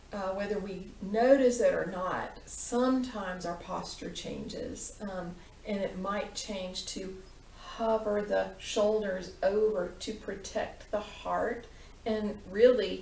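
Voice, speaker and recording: A woman's calm tone at medium pitch, with fairly even intonation, a very slow pace, big swings in loudness and noticeable background noise. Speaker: yoga teacher. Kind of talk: guided meditation. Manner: slow, calm.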